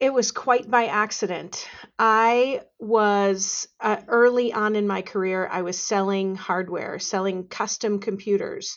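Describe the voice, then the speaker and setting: A woman speaks at a medium pitch and a fairly slow pace with hardly any pauses. Hers is a normal speaking voice with fairly even intonation. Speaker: legal industry consultant. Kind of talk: podcast interview.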